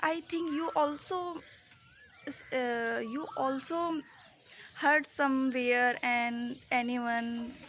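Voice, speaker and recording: A high-pitched woman's voice with ordinary pitch variation. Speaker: English learner vlogger. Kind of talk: casual vlog monologue. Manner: slow; halting.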